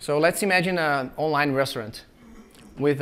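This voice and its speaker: Speaking with a Brazilian Portuguese accent, the man has a fairly high pitch and fairly even intonation. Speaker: software engineer and conference speaker. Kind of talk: conference talk. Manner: frequent filler hesitations.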